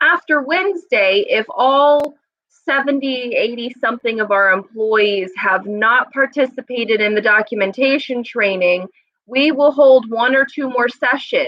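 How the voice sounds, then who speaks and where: Loud, fairly slow speech with lively intonation. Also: woman. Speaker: staff trainer at an adult services agency. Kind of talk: live stream staff announcements. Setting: office room, live stream. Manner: casual, chatty.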